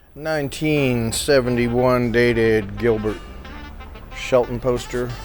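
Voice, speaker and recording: Music plays behind a man speaking very slowly at a medium pitch with fairly even intonation. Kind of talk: casual talk to camera, walking through an auction preview.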